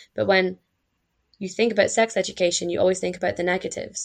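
Over a quiet background, a woman with a Scottish accent talks at a medium pitch with fairly even intonation. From Scotland. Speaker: student and pleasure activist.

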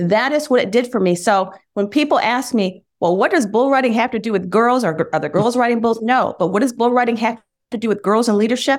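A woman's unremarkable speaking voice with an American accent, fairly high pitch, ordinary pitch variation and a fairly quick pace, on a very clean recording with a silent background. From US Midwest (Michigan). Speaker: former TV news anchor, bull owner. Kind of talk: interview.

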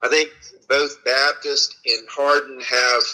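A man with a Southern US accent at a fairly slow pace. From US South (Florida/Alabama). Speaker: hospital executive. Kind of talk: interview.

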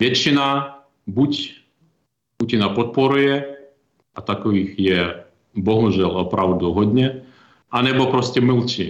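A man with a Ukrainian accent and medium pitch speaks at a very slow pace with long, frequent pauses, ordinary pitch variation, very even loudness and audible room echo. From Ukraine, Kyiv (born Ternopil region). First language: Ukrainian (speaking Czech). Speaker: ambassador. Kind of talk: interview. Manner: halting, with repetitions.

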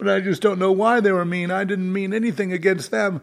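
A man speaks at a high pitch in a raised, projected voice. His pace is moderate and his pitch varies in an ordinary way. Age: 70s. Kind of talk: solo livestream monologue. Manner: halting.

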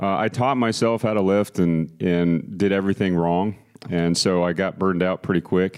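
In an American accent, a man with a very deep, low pitch talks at a moderate pace, with fairly even intonation and very even loudness. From Texas, Austin. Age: 40s. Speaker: city mayor. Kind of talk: interview. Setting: studio.

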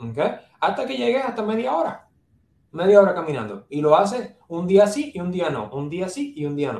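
A man speaks with a Puerto Rican accent at a moderate pace. His pitch swings very widely. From Puerto Rico, San Juan. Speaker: neurologist. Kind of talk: interview.

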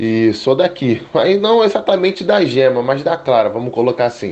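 This is a man speaking at a medium pitch. He has a Rio de Janeiro accent. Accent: Carioca Brazilian Portuguese. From Brazil, Niterói (Rio de Janeiro metro area). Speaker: football tactical analyst. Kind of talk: casual podcast discussion.

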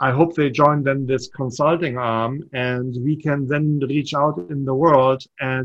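A man speaks with a German accent at medium pitch. His pace is fairly slow and his intonation fairly even. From Germany. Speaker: startup entrepreneur and mentor. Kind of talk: casual interview.

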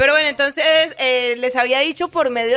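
In a Colombian accent, a woman speaks at a high pitch with a bright, sharp tone and fairly even intonation. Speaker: radio co-host. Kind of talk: casual radio chat.

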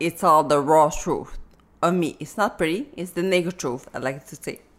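A woman talks in a normal speaking voice, fairly low in pitch, with ordinary pitch variation and a moderate pace. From Africa, raised in Canada from age ten. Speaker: author with multiple sclerosis. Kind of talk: interview.

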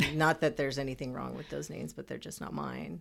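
A woman with an American accent speaks with vocal fry at a very deep, low pitch, in a very clean recording with a silent background. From Texas, Houston. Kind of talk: casual chat.

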